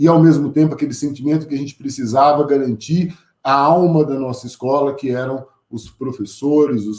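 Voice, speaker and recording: A man with a São Paulo interior accent speaks at a moderate pace with ordinary pitch variation. His tone is dark and mellow, and his pitch is medium. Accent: caipira São Paulo interior. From interior of São Paulo state, Brazil. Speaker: teacher and school director, invited speaker. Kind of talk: lecture. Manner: conversational, with hesitations.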